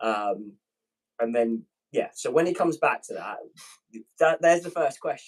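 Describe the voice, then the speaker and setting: A man with a British accent at a moderate pace, with long, frequent pauses. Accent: British accent, called dope by viewers. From Britain. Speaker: pilot, manifesting guest. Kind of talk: casual live-stream chat. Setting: live stream.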